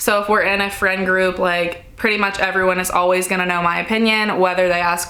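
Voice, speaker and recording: A woman talks at a fairly quick pace. There is noticeable background noise along with audible room echo. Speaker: lifestyle YouTuber. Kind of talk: casual Q&A chat. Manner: loud, projecting; casual, filler-heavy.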